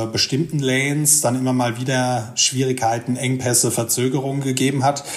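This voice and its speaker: A man talks at a moderate pace and medium pitch in a monotone, flat delivery. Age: 40s. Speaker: freight forwarder. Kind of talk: casual interview. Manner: hesitant with fillers.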